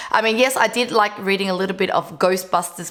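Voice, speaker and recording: The speech moves at a moderate pace with fairly even intonation. Noticeable background noise is present. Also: woman. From Vietnam. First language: Vietnamese. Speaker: entrepreneur. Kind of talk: casual vlog talk.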